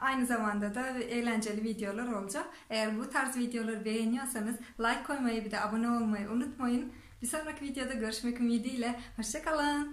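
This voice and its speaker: Spoken in a Turkmen accent at a fairly quick pace with fairly even intonation, the clip carries audible room echo. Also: woman, high pitch for a woman. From Turkmenistan. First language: Turkmen (speaking Turkish). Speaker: vlogger. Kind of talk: self-introduction to camera in four languages. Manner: halting, with fillers and restarts.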